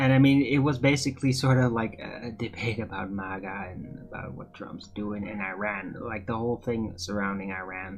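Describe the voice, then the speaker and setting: With a Dutch accent, the speaker talks at a moderate pace with hardly any pauses, ordinary pitch variation and big swings in loudness while music plays in the background. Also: man, fairly low pitch for a man. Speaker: streamer. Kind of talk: casual chat. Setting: live stream.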